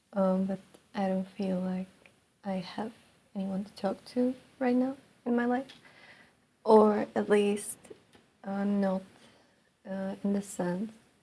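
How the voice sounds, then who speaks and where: In a non-native accent, a woman speaks at a very slow pace with long, frequent pauses, fairly even intonation, big swings in loudness and a somewhat breathy, dark, mellow tone. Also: medium pitch for a woman. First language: not English. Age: 20s. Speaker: vlogger. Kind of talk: personal monologue. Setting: alone in her room. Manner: halting.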